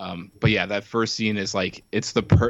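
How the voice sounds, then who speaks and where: Monotone, flat intonation marks this man's fairly low-pitched voice. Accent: American. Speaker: podcast guest. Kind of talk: casual chat. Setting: remote call.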